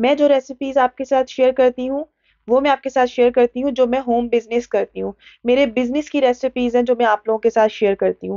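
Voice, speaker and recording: The speaker uses a monotone, flat intonation at a moderate pace, with dry sound, no echo and a quiet background. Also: woman, high pitch for a woman. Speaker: cooking channel host. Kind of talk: tutorial. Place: kitchen.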